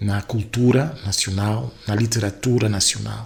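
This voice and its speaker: A man talks at a moderate pace, his pitch fairly low. His intonation stays fairly even, with noticeable background noise around him. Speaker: writer and university lecturer. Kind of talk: interview.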